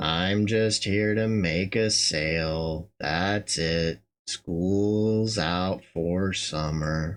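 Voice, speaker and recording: A put-on character voice delivered at a very slow pace with hardly any pauses, very even loudness and fairly even intonation. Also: man, very deep, low pitch for a man. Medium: solo performance. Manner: curt, sarcastic.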